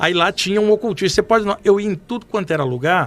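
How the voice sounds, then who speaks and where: Very fast pace from a man with a high pitch and ordinary pitch variation. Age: 60s. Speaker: medium. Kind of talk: podcast interview storytelling. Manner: casual, animated.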